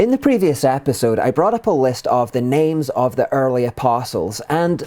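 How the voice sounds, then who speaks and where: Music plays in the background as a man with a Scottish accent speaks. His pace is moderate, his pitch medium and his intonation lively. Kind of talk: explainer video narration.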